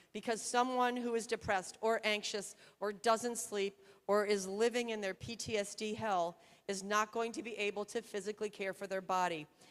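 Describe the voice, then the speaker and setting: Moderate in pace, this is a plain, everyday voice. Its intonation stays fairly even. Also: woman, fairly high pitch for a woman. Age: 60s. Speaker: surgeon. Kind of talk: conference talk.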